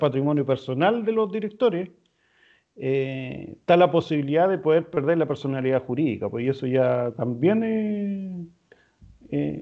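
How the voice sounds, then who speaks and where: With a Chilean accent, a man talks at a moderate pace in a fairly high pitch with lively intonation. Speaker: lawyer. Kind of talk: interview. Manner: hesitant, many fillers.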